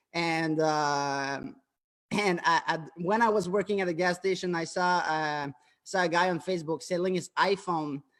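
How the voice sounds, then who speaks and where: A man's high voice in a very clean recording with a silent background. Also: fairly even intonation, moderate pace. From Quebec, Canada. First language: French. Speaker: entrepreneur. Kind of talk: interview. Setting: live stream. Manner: halting.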